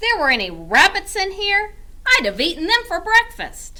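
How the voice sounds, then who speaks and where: Over light background noise, a woman uses a put-on character voice at an extremely high pitch. She growls in a gruff, raised, projected voice. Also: moderate pace. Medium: read story. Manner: gruff, growling.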